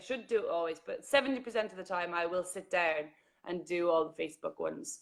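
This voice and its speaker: With an Irish accent and a medium pitch, a woman speaks in an animated tone at a fairly quick pace. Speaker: journalist and vlogger. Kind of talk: casual interview chat.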